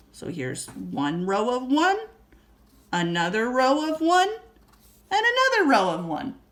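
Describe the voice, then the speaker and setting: A woman's pitch swings very widely as noticeable noise carries on behind her. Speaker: elementary school teacher. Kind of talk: lesson for young pupils.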